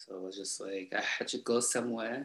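A man talks at a fairly quick pace with a fairly low pitch and a slightly husky edge. His tone is fairly bright and his intonation fairly even.

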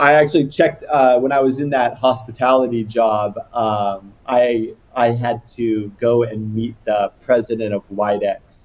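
A man with an American accent at a medium pitch, fairly slow pace, fairly even intonation, and hardly any pauses. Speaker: misophonia sufferer, landscape designer. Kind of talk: casual interview chat. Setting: remote call. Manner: loud.

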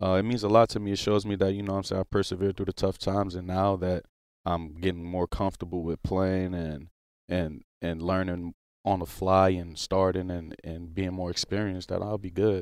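Speaking with an American accent, a man has a very deep, low pitch and monotone, flat intonation. His pace is fairly quick, on a very clean recording with a silent background. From New Orleans, Louisiana. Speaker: professional football player. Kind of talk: casual interview. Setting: studio.

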